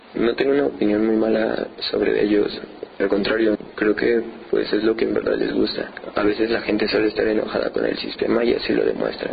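Against noticeable background noise, a man speaks at a fairly quick pace. His loudness stays very even. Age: 20s. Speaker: painter. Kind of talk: interview.

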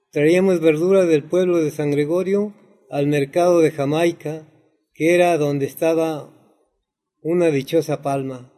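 Fairly high in pitch, a man's voice carries a dark, mellow tone with fairly even intonation. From Mexico City, Xochimilco. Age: 70s. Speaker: farmer. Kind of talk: interview.

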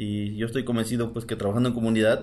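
A medium-pitched male voice with fairly even intonation and audible room echo. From Mexico, Morelos (Xoxocotla). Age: 40s. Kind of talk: recorded statement.

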